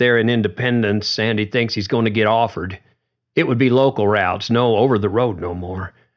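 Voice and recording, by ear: A natural voice reads aloud over a quiet background.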